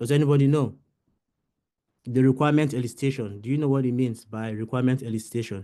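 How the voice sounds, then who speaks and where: Speaking at a very fast pace yet with long, frequent pauses, a man uses a medium-pitched, dark, mellow tone with fairly even intonation. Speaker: business analysis trainer. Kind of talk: webinar lecture.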